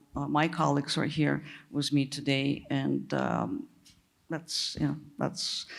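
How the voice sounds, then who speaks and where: A woman's voice with vocal fry comes through in a very clean recording with a silent background. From Russia (Soviet Union). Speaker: tech executive, panelist. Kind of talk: panel discussion.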